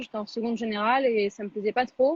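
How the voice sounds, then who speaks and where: A woman's normal speaking voice, fairly quick in pace, with fairly even intonation. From France, Paris. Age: 20s. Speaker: chef. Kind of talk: interview. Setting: Instagram live video call. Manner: casual, many fillers.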